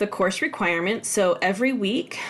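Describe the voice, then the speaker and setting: A woman at a fairly quick pace with lively intonation and a medium pitch, over noticeable background noise. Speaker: college instructor. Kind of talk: tutorial. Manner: fast; casual, with fillers.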